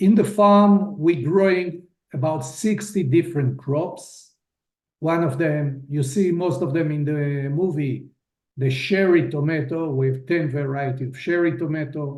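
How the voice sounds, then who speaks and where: There is audible room echo as a man speaks at a fairly high pitch. His pace is fairly slow, with ordinary pitch variation. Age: 60s. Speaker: farmer. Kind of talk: video testimony.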